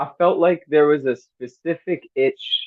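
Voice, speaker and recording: The speaker is a man. He has a New Jersey accent. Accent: New Jersey American. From New Jersey, US. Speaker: hip hop artist. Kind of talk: interview. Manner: casual, halting with fillers.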